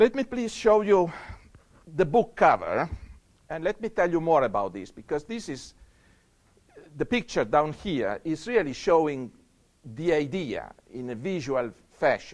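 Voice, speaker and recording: A man's fairly high voice at a fairly slow pace, with long, frequent pauses, very wide pitch swings and big swings in loudness. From Europe. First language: not English. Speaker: scientist. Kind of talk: lecture. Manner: halting.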